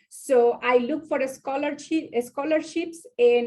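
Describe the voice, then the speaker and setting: A woman with a Spanish accent speaks at a fairly slow pace with ordinary pitch variation. The background is quiet. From Mexico. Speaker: business professional panelist. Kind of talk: personal story on panel. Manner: halting, many fillers.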